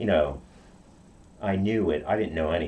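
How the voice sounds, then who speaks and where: A man speaks at a moderate pace with ordinary pitch variation. There is audible room echo. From Okinawa, Japan. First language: Japanese. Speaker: karate practitioner. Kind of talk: interview. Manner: halting.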